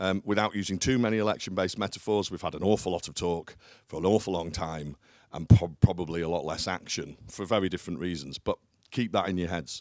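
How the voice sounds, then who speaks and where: A man talks at a very fast pace in a very deep, low voice with ordinary pitch variation. The recording is very clean, with a silent background. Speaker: business leader. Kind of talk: conference talk. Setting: stage with audience. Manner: loud; hesitant with fillers.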